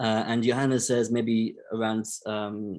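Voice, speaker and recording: A man's monotone, flat intonation. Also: quiet background. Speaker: technical advisor presenting a session. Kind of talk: online meeting discussion. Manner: hesitant, many fillers.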